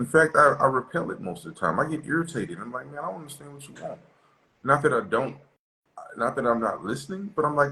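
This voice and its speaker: A man with an American accent talks at a very fast pace with lively intonation. His pitch is fairly high, and there is vocal fry. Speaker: relationship talk show host. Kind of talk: casual discussion. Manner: animated.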